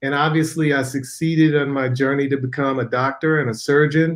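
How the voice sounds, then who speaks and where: A man with an American accent, fairly high pitch, a fairly slow pace and an unremarkable speaking voice. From Chicago, US Midwest. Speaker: physician and spiritual author. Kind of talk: interview.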